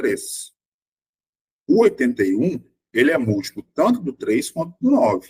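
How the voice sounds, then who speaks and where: The recording is dry and close, without any echo. A man talks at a fairly slow pace. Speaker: math teacher. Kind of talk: online lecture. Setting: online virtual class.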